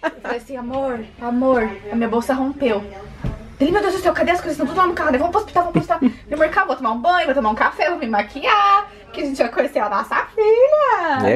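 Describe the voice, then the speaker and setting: With faint music in the background, a woman talks at a very fast pace in a high voice. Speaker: expectant mother vlogger. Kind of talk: casual vlog chat. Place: home room. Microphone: phone near.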